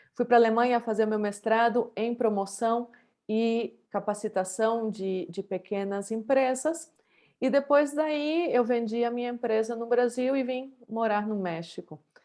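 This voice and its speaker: At a fairly slow pace, the voice carries a dark, mellow tone and ordinary pitch variation. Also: woman, fairly high pitch for a woman. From Brazil, Santa Catarina. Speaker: professor. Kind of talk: keynote lecture. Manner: hesitant, many fillers; informal.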